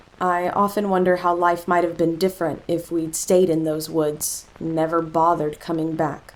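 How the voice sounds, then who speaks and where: A woman's fairly low, monotone, flat voice at a fairly slow pace, with noticeable background noise. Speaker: voice actor. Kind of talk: horror story narration.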